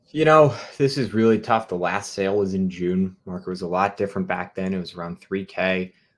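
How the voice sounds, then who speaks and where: Speaking at a fairly quick pace, a man with a fairly low pitch and ordinary pitch variation is heard on a very clean recording with a silent background. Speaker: sports card company content manager, co-host. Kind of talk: casual livestream commentary. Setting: livestream. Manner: enthusiastic.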